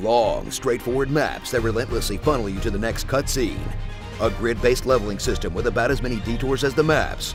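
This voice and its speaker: Music plays in the background. Over it, a man talks at a fairly quick pace with ordinary pitch variation. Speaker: voiceover narrator. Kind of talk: parody movie trailer narration.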